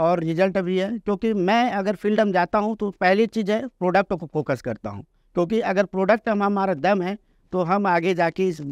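A man with a high voice talks at a moderate pace with fairly even intonation, the sound dry with no echo over a quiet background. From Chhattisgarh, India. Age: 40s. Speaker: network marketer; podcast guest. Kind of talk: interview. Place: studio. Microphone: lapel.

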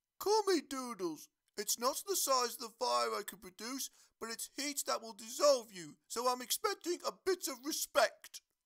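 The speaker puts on a character voice with a fairly high pitch. The pace is moderate.

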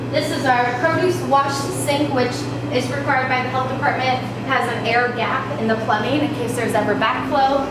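A woman is heard with audible room echo and loud background noise. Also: moderate pace. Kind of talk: casual tour commentary. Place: kitchen.

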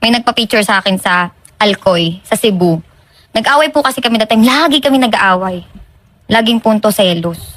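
The speaker has a plain, everyday voice. The pace is fairly quick and the intonation lively. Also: woman. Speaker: complainant on a public service show. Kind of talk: personal complaint account.

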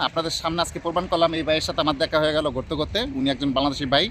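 A man talks with vocal fry at a fairly high pitch. His intonation stays fairly even. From Bangladesh. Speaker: vlogger. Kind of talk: vlog interview.

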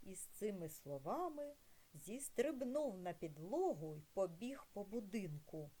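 The voice here is a natural reading voice.

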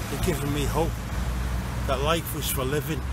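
A man speaks over loud background noise, his voice dry and close with no echo. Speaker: spoken word poet and groundworker. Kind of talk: spoken word poetry performance, rhymed verse. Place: street. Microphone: phone near.

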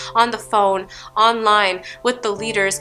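A woman speaks at a fairly slow pace, with faint music in the background. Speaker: poet. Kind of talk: spoken word poetry performance. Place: studio.

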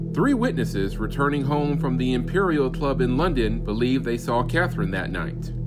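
A man is speaking. Music plays in the background. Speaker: voice actor. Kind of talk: documentary narration.

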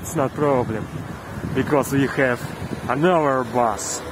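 A man speaks very slowly with fairly even intonation, his dry sound free of echo but set against noticeable background noise. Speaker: travel vlogger. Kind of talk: casual vlog chat. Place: street. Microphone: phone near.

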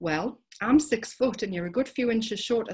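This is a natural reading voice. It is heard here.

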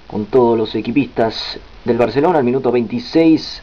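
A man talks in a medium pitch. Noticeable background noise runs through the clip. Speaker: sports commentator. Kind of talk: live-style football commentary over match highlights. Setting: voiceover on highlights video. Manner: excited on goals.

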